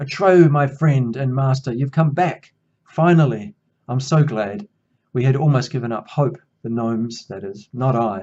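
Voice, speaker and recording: A man's put-on character voice, resonant and medium-pitched, at a moderate pace. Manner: booming, joyful.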